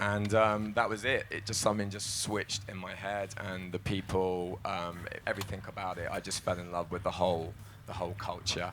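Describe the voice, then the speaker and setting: Fairly low-pitched male voice with a London accent, fairly quick and in a monotone, flat intonation. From London, England. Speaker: psytrance producer and DJ. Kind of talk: panel discussion.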